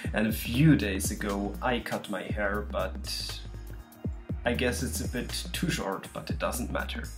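Clear music plays in the background as a man speaks with a very deep, low pitch and very wide pitch swings. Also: fairly slow pace. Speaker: ASMR creator. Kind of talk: casual talk to camera. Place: home room. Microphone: webcam.

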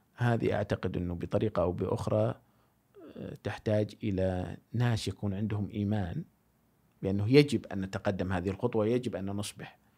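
In a quiet background, a man talks at a fairly slow pace, his fairly low voice showing ordinary pitch variation. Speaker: philosophy enthusiast; podcast guest. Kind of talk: casual chat. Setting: studio. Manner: loud. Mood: thoughtful, measured. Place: studio. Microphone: studio mic.

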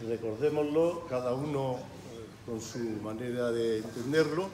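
A man's voice with ordinary pitch variation, light background noise and audible room echo. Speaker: event host giving a toast. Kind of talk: toast speech. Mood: solemn, reflective. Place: hall. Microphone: camera far.

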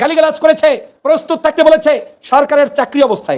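A man in an animated tone. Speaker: political commentator. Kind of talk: political commentary video. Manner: animated, accusatory.

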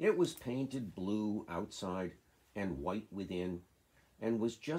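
The voice reads in an unforced way.

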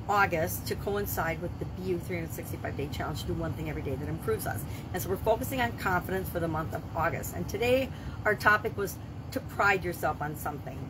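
Speech rushes by at a very fast pace over noticeable background noise. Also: woman. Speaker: business coach vlogger. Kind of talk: casual vlog chat. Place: home room.

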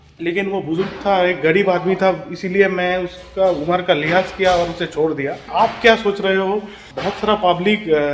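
A man's high, monotone voice with flat intonation at a moderate pace, with audible room echo and light background noise. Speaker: vlogger. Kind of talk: casual vlog chat. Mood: recounting a street quarrel, agitated. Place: home room. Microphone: phone near.

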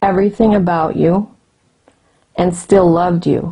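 A somewhat breathy woman with a dark, mellow tone, fairly even intonation and a fairly slow pace, against a quiet background. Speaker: interviewee recalling a spiritual teacher. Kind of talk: interview answer. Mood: warm, reverent reminiscence. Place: home room. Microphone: handheld.

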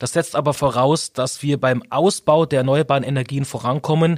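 In an unremarkable speaking voice, a man talks at a moderate pace with a fairly high pitch and fairly even intonation, the sound dry and close with no echo. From Augsburg, Bavaria. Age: 40s. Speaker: politician. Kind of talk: interview.

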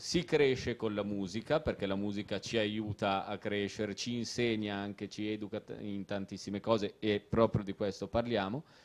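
The man's delivery moves at a fairly slow pace. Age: 30s. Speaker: author; guest. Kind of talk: casual chat. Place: stage. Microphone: handheld.

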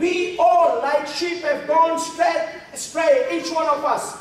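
A man speaks slowly at an extremely high pitch. Strong room echo surrounds his voice. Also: ordinary pitch variation.

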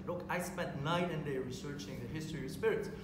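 Speech at a moderate pace with fairly even intonation comes through audible room echo and noticeable background noise. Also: man. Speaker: panel expert. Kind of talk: panel debate. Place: hall. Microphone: camera far.

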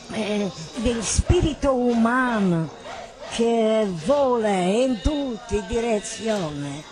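Against noticeable background noise, a woman speaks very slowly at a fairly high pitch with lively intonation. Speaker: theatre director. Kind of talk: spoken manifesto narration.

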